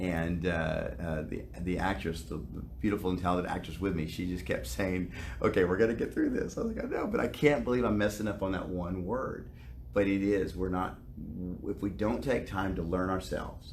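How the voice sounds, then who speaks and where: With an American accent, a man talks at a fairly quick pace with a very deep, low pitch, lively intonation and vocal fry. Audible room echo surrounds his voice. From US South. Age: 50s. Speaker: actor. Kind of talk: interview.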